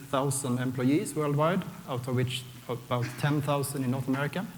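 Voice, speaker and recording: Fairly quick speech in a Swedish accent, with audible room echo. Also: man. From Sweden. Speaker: software architect, conference speaker. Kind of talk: conference talk. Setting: stage with audience.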